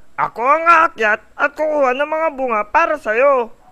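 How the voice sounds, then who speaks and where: This cartoonish character voice sits at a high pitch and moves at a moderate pace. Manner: boastful, bullying.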